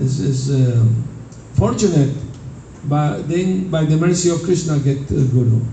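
With audible room echo and noticeable background noise, a man talks at a fairly slow pace using ordinary pitch variation. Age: 70s. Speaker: Hare Krishna monk teaching devotees. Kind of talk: spiritual talk with storytelling.

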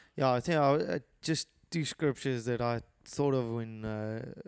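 At a moderate pace, a man speaks in a South African accent at a medium pitch. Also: very clean recording, silent background. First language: Afrikaans. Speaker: podcast co-host. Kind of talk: casual chat.

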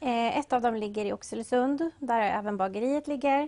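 Close and dry with no echo, a woman's fairly high-pitched voice carries a dark, mellow tone. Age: young. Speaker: café and bakery owner. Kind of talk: interview.

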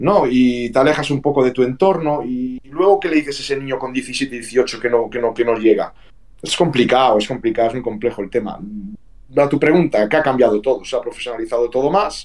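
With a normal speaking voice at medium pitch, a man talks fairly quickly with ordinary pitch variation. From Vigo, Galicia, Spain. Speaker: retired professional footballer. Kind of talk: interview.

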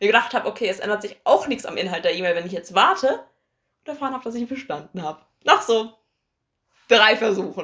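A woman speaks very fast at a fairly high pitch, with lively intonation and big swings in loudness. Her speech has long, frequent pauses. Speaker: podcast co-host. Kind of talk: casual chat. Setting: same room recording. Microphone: low quality recording.

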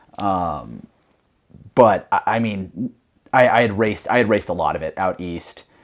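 This man has a normal speaking voice with a fairly low pitch. His pitch varies in an ordinary way. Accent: American. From US Northeast, Connecticut. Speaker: mountain runner. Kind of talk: casual chat.

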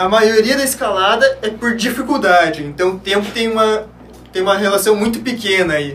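Moderate-paced speech with ordinary pitch variation, amid audible room echo and noticeable background noise. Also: man, high pitch for a man. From Curitiba, Paraná, southern Brazil. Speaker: sport climber, former scout. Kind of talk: casual podcast chat.

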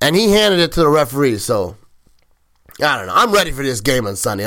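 An animated man speaks at a fairly quick pace with a bright, sharp tone. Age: 40s. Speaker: podcast host. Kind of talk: casual chat.

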